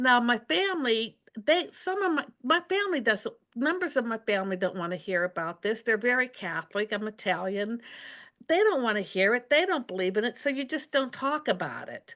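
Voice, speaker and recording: With an American accent, a woman speaks at a moderate pace in a high, bright, sharp voice that makes very wide pitch swings. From Pennsylvania, US. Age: 70s. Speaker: psychic and former intelligence analyst. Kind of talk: interview.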